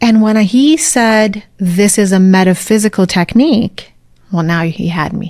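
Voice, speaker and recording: A woman in an American accent talks at a fairly slow pace, her voice somewhat breathy and her pitch varying in an ordinary way. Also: medium pitch for a woman. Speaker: spiritual mentor and breathwork coach. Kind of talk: interview conversation.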